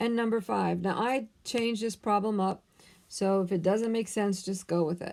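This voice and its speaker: A plain, everyday voice with ordinary pitch variation, moving at a moderate pace. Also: woman. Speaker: math teacher. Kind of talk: tutorial. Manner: casual, conversational.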